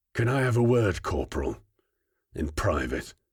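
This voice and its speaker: In a put-on character voice, a man growls at a medium pitch and a moderate pace, his voice raspy, in a very clean recording with a silent background. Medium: read story. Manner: menacing, curt.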